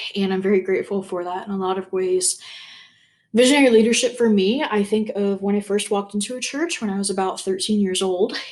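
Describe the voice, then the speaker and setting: Very fast delivery with ordinary pitch variation. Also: woman, medium pitch for a woman. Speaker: youth minister. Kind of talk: self-introduction video.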